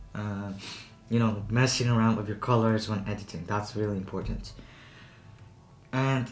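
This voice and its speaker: Somewhat breathy, a man speaks in a medium pitch at a moderate pace. His intonation stays fairly even. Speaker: tech reviewer. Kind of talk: product review talk to camera. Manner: casual, rambling.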